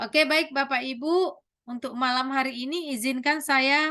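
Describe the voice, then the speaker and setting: The voice is raised and projected, with a bright, sharp tone and ordinary pitch variation. It moves at a fairly slow pace over a quiet background. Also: woman. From North Sumatra, Batak. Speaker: teacher and trainer of teachers. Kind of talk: online training lecture. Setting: video call, virtual class.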